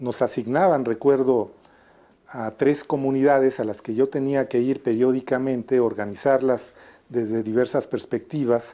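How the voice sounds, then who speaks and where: Fairly slow and dark, mellow in tone, a man's medium-pitched voice holds fairly even intonation. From Mexico, Atlixco, Puebla; Puebla, Mexico. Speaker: public health physician and researcher. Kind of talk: interview. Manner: hesitant, many fillers; formal. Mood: warm, reminiscing. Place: office. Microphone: lapel.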